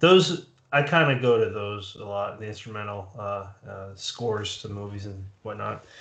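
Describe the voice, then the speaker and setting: Against a quiet background with audible room echo, a man speaks at a moderate pace. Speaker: podcast host. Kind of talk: interview. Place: home room.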